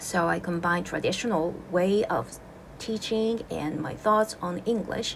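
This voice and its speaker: A woman with a Japanese accent speaks with lively intonation. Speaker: English teacher. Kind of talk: casual video introduction. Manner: casual, relaxed.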